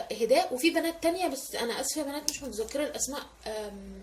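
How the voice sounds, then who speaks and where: A loud woman with a high pitch and lively intonation, over noticeable background noise. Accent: Egyptian. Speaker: lifestyle vlogger. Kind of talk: casual vlog tutorial. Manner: animated, voice rises with excitement.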